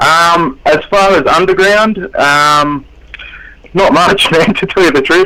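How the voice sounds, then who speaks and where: The speaker is a man. He has an Australian accent. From Australia, southwest Sydney. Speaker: underground rapper. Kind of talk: radio interview.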